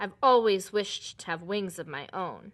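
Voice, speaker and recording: A woman speaks in a put-on character voice, growling at a medium pitch. Her pace is moderate, and the background is quiet. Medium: read story. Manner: taunting.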